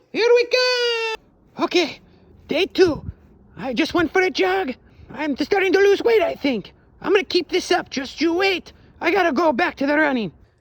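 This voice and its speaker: In a cartoonish character voice at an extremely high pitch, the speaker goes at a moderate pace. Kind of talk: comedic vlog to camera. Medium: puppet.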